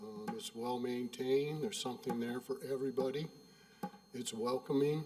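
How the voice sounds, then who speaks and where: Speaking at a moderate pace with lively intonation, a man of medium pitch is heard over noticeable background noise. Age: 70s. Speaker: resident giving public comment. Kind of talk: public comment at a meeting. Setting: township board meeting at a podium. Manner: halting.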